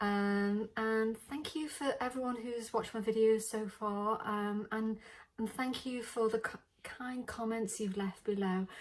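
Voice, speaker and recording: In a British accent, a woman speaks at a fairly slow pace, her fairly high pitch held to fairly even intonation. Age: 60s. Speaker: beauty vlogger. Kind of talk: makeup tutorial. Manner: casual, hesitant with many fillers.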